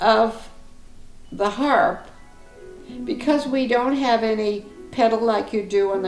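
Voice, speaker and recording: With music in the background, a woman speaks at a very slow pace. Her pitch is fairly high, with ordinary pitch variation. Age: 80s+. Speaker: harp teacher. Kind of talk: interview answer.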